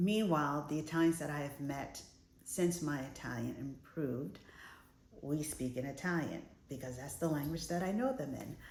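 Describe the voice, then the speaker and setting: A woman with an American accent speaks at a moderate pace with a very deep, low pitch and vocal fry. There is audible room echo. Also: ordinary pitch variation. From United States. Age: middle-aged. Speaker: lifestyle vlogger. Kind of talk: casual vlog talk to camera. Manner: conversational, some hesitations.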